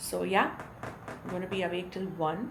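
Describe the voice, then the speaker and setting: Through noticeable background noise, a woman's fairly low-pitched voice comes across. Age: 40s. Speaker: radio jockey. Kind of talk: casual vlog talk to camera.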